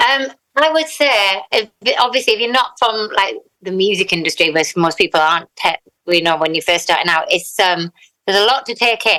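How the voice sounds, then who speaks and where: Her tone is bright and sharp, in a Teesside accent. The woman speaks fairly quickly with lively intonation. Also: medium pitch for a woman. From northern England, Teesside. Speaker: singer-songwriter. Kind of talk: interview.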